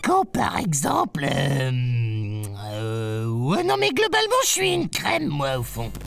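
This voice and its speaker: Someone delivers a put-on character voice at a fairly slow pace. Clear music sounds in the background. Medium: read story. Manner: chatty, teasing, colloquial.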